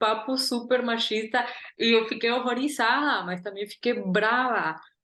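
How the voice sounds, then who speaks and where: A woman with a high voice at a fairly slow pace. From Guatemala. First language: Spanish (speaking Portuguese). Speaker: artist and curator. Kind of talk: interview.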